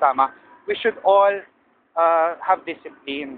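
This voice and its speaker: Fairly even intonation runs through a plain, everyday voice. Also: man. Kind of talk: casual vlog talk to camera.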